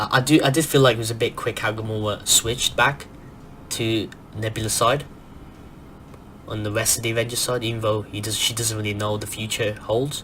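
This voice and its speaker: The speaker is soft-spoken and talks at a fairly quick pace, broken by long, frequent pauses. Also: man. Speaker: movie review youtuber. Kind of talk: casual film review monologue. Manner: animated, fast with many restarts.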